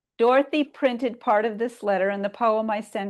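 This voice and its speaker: Against a quiet background, a normal speaking voice with an American accent moves at a fairly quick pace with ordinary pitch variation. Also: woman. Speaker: poet. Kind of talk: reading aloud.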